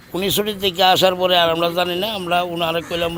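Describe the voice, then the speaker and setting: A high-pitched man's voice against noticeable background noise. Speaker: mosque congregant. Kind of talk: interview.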